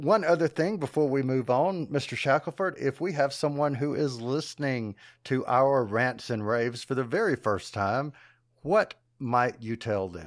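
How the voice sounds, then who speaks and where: Using an ordinary speaking voice, a man talks at medium pitch and a moderate pace with lively intonation, captured on a very clean recording with a silent background. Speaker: podcast host. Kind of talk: casual chat.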